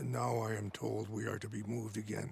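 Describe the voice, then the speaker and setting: A man puts on a raspy character voice with a fairly low pitch and a solemn tone, speaking at a fairly quick pace. His loudness stays very even, and clear background noise is present. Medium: video game. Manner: measured, solemn.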